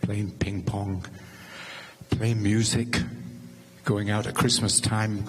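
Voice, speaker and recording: With an English accent, a man speaks very slowly at a fairly low pitch in a monotone, flat delivery with long, frequent pauses, amid noticeable background noise and audible room echo. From England. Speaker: neighbor giving a eulogy. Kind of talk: memorial tribute. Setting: church memorial service.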